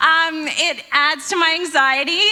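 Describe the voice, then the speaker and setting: A raised, projected voice with fairly even intonation over noticeable background noise. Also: woman. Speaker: stand-up comedian. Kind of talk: stand-up. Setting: stage with audience.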